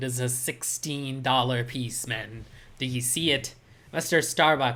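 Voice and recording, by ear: A passage is read aloud naturally. Its intonation stays fairly level.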